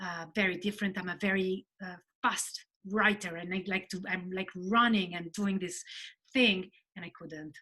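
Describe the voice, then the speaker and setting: Her voice is medium-pitched with a bright, sharp tone as a woman with an Italian accent speaks with fairly even intonation. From Italy. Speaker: novelist. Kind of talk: interview chat. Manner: halting.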